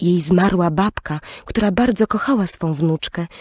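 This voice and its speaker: This woman has a normal speaking voice and speaks at a fairly slow pace with ordinary pitch variation. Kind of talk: bedtime story audiobook narration. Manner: slow, soft, gentle storyteller's pacing.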